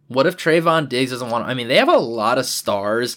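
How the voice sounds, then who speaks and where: A man speaks at medium pitch with an American accent and an ordinary speaking voice. His pace is moderate. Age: 20s. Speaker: sports podcast host. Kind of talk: solo sports podcast commentary. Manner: many filler words and repetitions.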